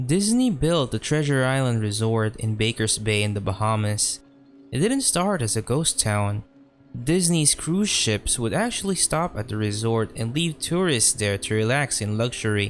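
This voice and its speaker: A man's medium-pitched voice at a moderate pace, lively in intonation and very even in loudness. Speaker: creepypasta narrator. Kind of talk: horror story narration.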